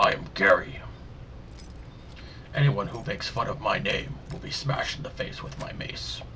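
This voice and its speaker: A man performs a put-on character voice at a moderate pace. Clear background noise runs behind him. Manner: threatening.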